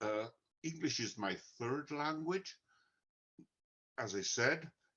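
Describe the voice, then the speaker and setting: Speaking at a very slow pace with lively intonation, a man with an Italian accent has a fairly high pitch. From Italy. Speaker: author and software engineer. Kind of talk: technical presentation. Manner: hesitant with many fillers.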